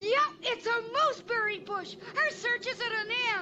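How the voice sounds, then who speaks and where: Fairly slow, extremely high-pitched cartoonish character voice. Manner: chipper, earnest, exclamatory.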